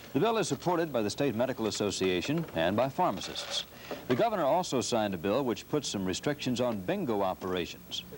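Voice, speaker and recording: A man's medium-pitched voice at a very fast pace, with very wide pitch swings and noticeable background noise. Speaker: television news anchor. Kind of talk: television news broadcast. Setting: TV studio broadcast, 1970s aircheck.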